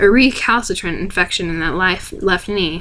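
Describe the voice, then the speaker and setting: Noticeable background noise accompanies this recording. A woman speaks at a medium pitch. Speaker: ASMR reader. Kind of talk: read story. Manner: fast.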